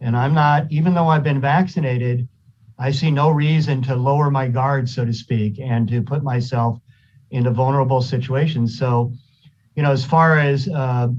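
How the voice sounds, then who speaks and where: A man speaks in a somewhat breathy voice. His intonation stays fairly even. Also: medium pitch for a man, moderate pace, very even loudness. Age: 60s. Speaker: county supervisor. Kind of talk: public meeting discussion. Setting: video call.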